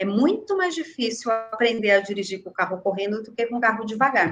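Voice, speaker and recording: A woman's normal speaking voice, fairly high in pitch with ordinary pitch variation, at a fairly quick pace. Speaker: care home manager. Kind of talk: webinar panel discussion.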